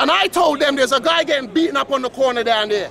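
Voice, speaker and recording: A man with an extremely high pitch speaks very fast in a raised, projected voice. His tone is animated and his intonation lively, with crowd noise in the background. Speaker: local resident. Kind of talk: heated street argument. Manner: loud.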